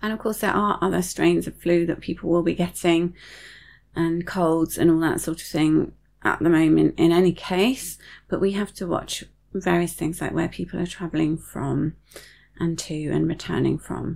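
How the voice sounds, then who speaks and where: A woman with a British accent speaks in a fairly low pitch with fairly even intonation. Her pace is moderate, on a very clean recording with a silent background. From UK. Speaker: podcast host and serviced accommodation host. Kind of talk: solo podcast monologue, informational. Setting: video recorded podcast. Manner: calm, measured, informative.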